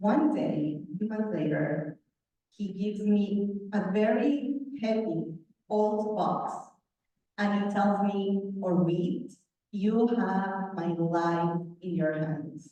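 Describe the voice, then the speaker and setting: Speaking at a very slow pace, a woman uses a medium pitch with ordinary pitch variation, and room echo can be heard. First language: not English. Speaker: author, guest speaker. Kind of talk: talk to a club meeting.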